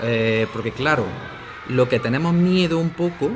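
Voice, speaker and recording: Noticeable background noise sits under this man's talking. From Andalusia, Spain. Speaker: language teacher and philologist. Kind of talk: interview. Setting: school radio studio. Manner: frequent fillers (¿vale?, eh).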